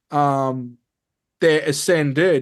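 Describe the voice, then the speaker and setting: A man with an Australian accent, fairly high in pitch, with fairly even intonation, against a quiet background. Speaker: spiritual teacher and ET contact experiencer. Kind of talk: interview. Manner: fast.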